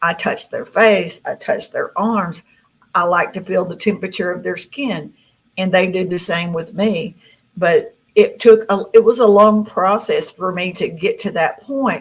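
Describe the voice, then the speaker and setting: Speaking in a Southern US accent, a woman with a medium-pitched, somewhat breathy voice goes at a fairly slow pace with fairly even intonation. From Tennessee. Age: 60s. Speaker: contactee. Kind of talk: interview.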